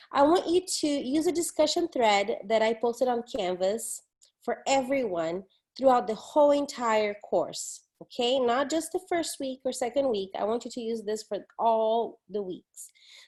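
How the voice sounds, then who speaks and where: In a Portuguese accent, a woman talks at a moderate pace with a high pitch. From Brazil, São Paulo. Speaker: professor. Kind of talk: recorded online lecture. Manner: casual, conversational with fillers.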